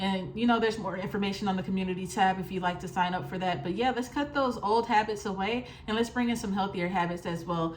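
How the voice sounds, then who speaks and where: The speech comes at a very fast pace with hardly any pauses. Pitch variation is ordinary, and there is noticeable background noise. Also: woman, medium pitch for a woman. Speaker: tarot reader. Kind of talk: tarot reading monologue. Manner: casual.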